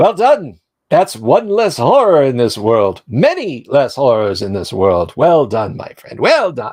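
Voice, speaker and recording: Using a squeaky, put-on character voice, a man speaks at a fairly slow pace and a fairly high pitch. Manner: approving, warm.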